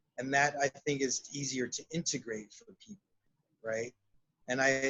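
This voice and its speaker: Medium pitch from a man with an American accent. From South Texas, Laredo. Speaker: shamanic counselor and psychotherapist. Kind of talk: interview.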